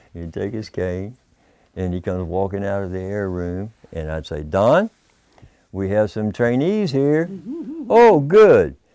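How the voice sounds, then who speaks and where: A man speaks at a fairly low pitch and a fairly slow pace in a dark, mellow tone, with lively intonation, big swings in loudness and long, frequent pauses. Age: 70s. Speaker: former community radio staff member. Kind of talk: oral history interview. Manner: animated storytelling.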